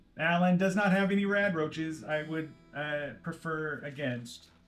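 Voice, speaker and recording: Using a put-on character voice, a man speaks in a fairly high pitch at a moderate pace, with faint music in the background. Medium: actual play. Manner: polite, formal, speaks of itself by name.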